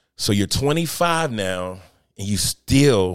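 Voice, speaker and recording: The man's pitch is fairly low and his intonation lively. The sound is dry and close with no echo, on a very clean recording with a silent background. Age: 30s. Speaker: podcast host, chef and entrepreneur. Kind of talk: solo motivational talk. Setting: livestream. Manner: casual, animated.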